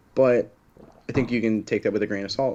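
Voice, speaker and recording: With a fairly low pitch and normal variation in it, a man is speaking. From Oklahoma. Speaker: MMA podcast co-host. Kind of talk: casual chat.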